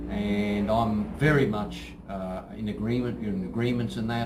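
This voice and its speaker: Against noticeable background noise and audible room echo, a man with an Australian accent speaks at a fairly low pitch. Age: 60s. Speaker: martial arts instructor. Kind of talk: promotional talk to camera. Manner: halting, many fillers.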